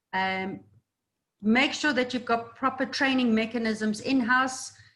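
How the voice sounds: There is audible room echo as a woman speaks at a fairly slow pace. Her pitch is fairly high, her tone fairly bright, and her pitch variation ordinary.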